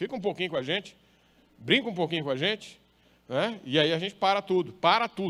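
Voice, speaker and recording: With a northeastern Brazilian accent, a man speaks at a fairly quick pace in a high, bright, sharp voice, broken by long, frequent pauses. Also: lively intonation. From northern Brazil, Maranhão. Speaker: pastor. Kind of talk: sermon.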